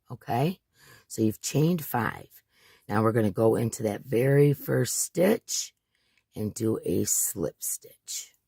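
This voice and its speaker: A man of medium pitch speaks at a very slow pace with a dark, mellow tone. He sounds somewhat breathy on a dry, close recording with no echo. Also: lively intonation. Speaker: crochet tutorial maker. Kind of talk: tutorial. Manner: slow, deliberately paced; casual, hesitant with fillers.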